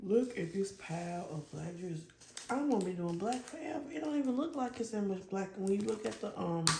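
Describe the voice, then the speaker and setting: A woman speaks at a fairly quick pace in a medium pitch, her voice swinging very widely up and down, with noticeable background noise and audible room echo. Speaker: diamond painting hobbyist YouTuber. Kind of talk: casual chat while crafting. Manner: loud. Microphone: lapel mic not clipped on, may be quiet.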